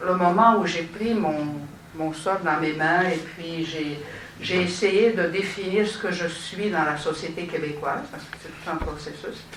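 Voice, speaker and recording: Pitched fairly low, a woman talks at a fairly slow pace. Noticeable background noise and audible room echo surround her. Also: fairly even intonation. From Romania. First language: Romanian (speaking French). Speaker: city councillor, panelist. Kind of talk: panel discussion. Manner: halting, many hesitations.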